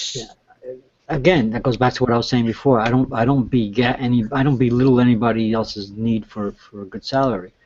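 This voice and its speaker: A man at medium pitch, talking at a very fast pace with fairly even intonation. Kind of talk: casual chat. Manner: loud.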